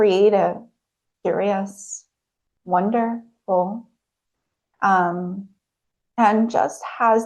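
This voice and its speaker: Over a quiet background, a woman speaks at a medium pitch with monotone, flat intonation. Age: 30s. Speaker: hypnotherapist. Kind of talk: presentation talk. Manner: hesitant, many fillers; soft-spoken.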